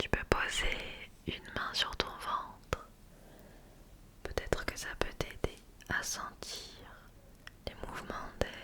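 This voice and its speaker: Whispering from a woman amid noticeable background noise, very slow, broken by long, frequent pauses. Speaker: ASMR creator. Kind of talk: guided sleep relaxation. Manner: slow, soft-spoken.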